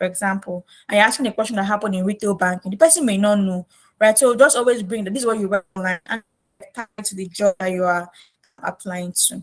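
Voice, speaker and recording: In a dry, close sound with no echo, a woman with a medium pitch talks at a very fast pace with ordinary pitch variation. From Nigeria, Lagos. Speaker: career coach. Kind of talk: tutorial.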